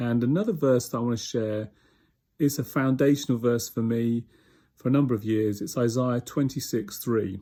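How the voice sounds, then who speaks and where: A man speaks with a British accent. His tone is dark and mellow. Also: medium pitch for a man, moderate pace, very clean recording, silent background. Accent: UK. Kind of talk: devotional talk.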